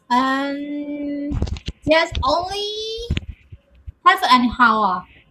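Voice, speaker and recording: A woman uses a high, raised, projected voice. Her pitch swings very widely. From Myanmar. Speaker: English learner. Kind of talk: casual chat. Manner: halting, hesitant.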